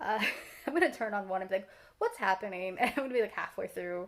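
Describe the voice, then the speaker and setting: The pitch variation in this woman's speech is ordinary. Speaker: streamer and video creator. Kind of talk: casual video diary. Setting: at home in front of TV. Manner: quiet, trying not to be loud.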